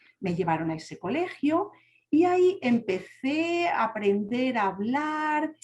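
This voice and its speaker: A woman speaks in a Spanish accent at a high pitch. Her pitch swings very widely. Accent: Spanish (Spain). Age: young. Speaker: deafblind speaker sharing her story. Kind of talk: testimony.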